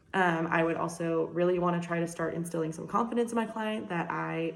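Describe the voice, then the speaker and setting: A woman with an American accent speaks with ordinary pitch variation amid noticeable background noise and audible room echo. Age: young. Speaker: nursing student. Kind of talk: class presentation video. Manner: fast; energetic.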